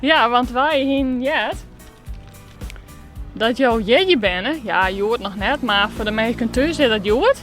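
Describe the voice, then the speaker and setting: Music plays in the background. The pace is very slow, with long, frequent pauses. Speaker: regional TV reporter. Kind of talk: interview questions.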